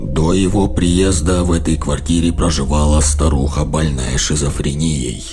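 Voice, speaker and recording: Against loud music in the background, a man does a put-on character voice at a moderate pace with hardly any pauses. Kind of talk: horror narration. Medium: read story. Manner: measured, dark.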